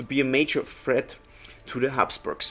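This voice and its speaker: A German accent at a moderate pace. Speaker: metal detectorist. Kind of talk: casual vlog commentary. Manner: unscripted, some stumbling.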